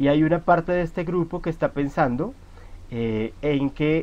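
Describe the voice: Keeping a moderate pace, a man speaks in a slightly mellow tone with ordinary pitch variation.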